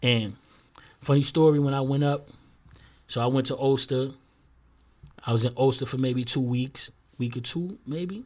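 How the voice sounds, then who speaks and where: Speaking at a moderate pace with an American accent, a man leaves long, frequent pauses. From New York City, the Bronx. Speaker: reformed gang member. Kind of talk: casual interview, storytelling. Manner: animated.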